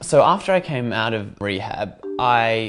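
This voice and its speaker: Music plays in the background. A man speaks with an Australian accent. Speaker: TV host and Mandarin learner. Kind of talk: interview testimony.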